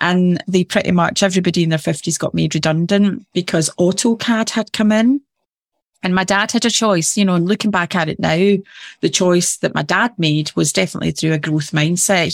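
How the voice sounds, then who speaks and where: In a Glasgow accent, a woman speaks at a fairly low pitch with ordinary pitch variation. Her moderate pace comes through a dry, close sound with no echo. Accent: Scottish (Glasgow area). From Scotland, near Glasgow. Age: 50s. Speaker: business advisor and motivational speaker. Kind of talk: interview conversation.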